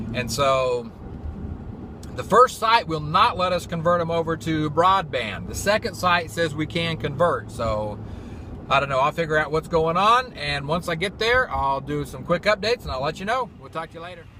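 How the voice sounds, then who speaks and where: Noticeable background noise sits under a man speaking with an American accent. His fairly high voice moves in very wide pitch swings. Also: moderate pace. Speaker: field IT technician and vlogger. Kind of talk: casual vlog. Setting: in a car driving; doctor's waiting room. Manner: quiet, hushed.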